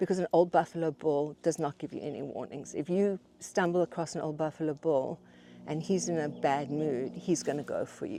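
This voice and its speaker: A woman speaks at a fairly quick pace with vocal fry. Her tone is dark and mellow. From South Africa. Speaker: writer and writing teacher. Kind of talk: casual conversation. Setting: outdoors on a hike. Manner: animated; halting, many repetitions.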